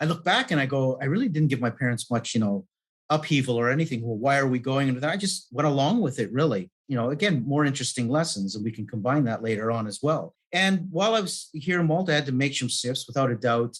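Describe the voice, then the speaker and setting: A man with a Canadian accent talks at a very fast pace with hardly any pauses. His voice is fairly high, with lively intonation. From Canada. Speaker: life and business coach. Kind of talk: podcast interview.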